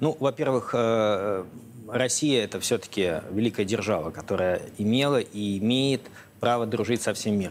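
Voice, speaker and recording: Speaking at a moderate pace with very even loudness and ordinary pitch variation, a man comes through over light background noise. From Russia. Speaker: foundation director and researcher. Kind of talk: TV interview. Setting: TV studio. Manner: hesitant, with frequent filler sounds. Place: studio. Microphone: lapel.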